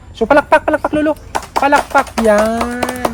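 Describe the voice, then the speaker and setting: Fairly brisk speech from a man amid noticeable background noise. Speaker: charity vlogger. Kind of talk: casual vlog talk to viewers. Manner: loud.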